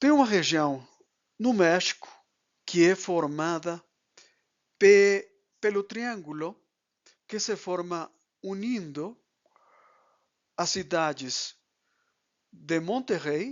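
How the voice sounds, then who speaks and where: A high-pitched man with a Spanish accent, lively in intonation, very slow, with long, frequent pauses. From Mexico. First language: Spanish (speaking Portuguese). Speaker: economist and export consultant. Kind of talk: lecture. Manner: halting.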